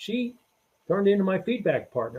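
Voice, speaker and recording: A high-pitched man at a fairly quick pace. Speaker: retired army general and author. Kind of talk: interview. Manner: loud.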